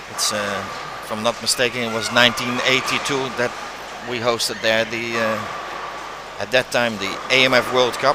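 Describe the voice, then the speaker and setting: A man with a Dutch accent speaks at medium pitch and a moderate pace, monotone and flat, with long, frequent pauses and noticeable background noise. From Netherlands, The Hague. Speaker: bowling commentator. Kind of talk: live commentary.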